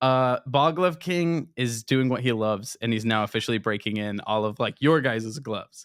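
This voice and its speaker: Recorded very cleanly with a silent background and a dry, close sound with no echo, a man talks at a moderate pace and medium pitch with hardly any pauses. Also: ordinary pitch variation. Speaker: baseball glove specialist. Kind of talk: casual chat. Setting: studio. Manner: animated.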